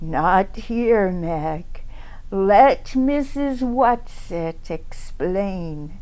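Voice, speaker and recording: A woman speaks very slowly in a put-on character voice at a medium pitch. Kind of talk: storybook reading. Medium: read story. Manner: terse, authoritative, cool.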